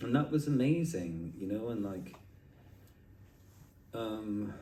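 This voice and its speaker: With a dark, mellow tone and fairly low pitch, a man speaks at a very slow pace with lively intonation amid audible room echo. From Scotland, Edinburgh. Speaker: artist. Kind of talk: casual interview conversation. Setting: at a street art festival. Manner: animated, with frequent filler and restarts.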